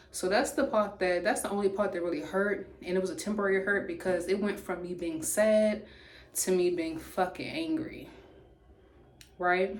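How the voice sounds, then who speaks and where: A woman speaks at a medium pitch and a moderate pace with ordinary pitch variation. Audible room echo surrounds her voice. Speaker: YouTuber. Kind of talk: storytime monologue. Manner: loud.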